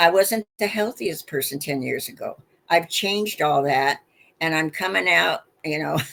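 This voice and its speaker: A woman speaks at a moderate pace. Vocal fry runs through her voice. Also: fairly low pitch for a woman, lively intonation. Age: 70s. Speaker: inventor and marketer. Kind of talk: interview. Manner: animated.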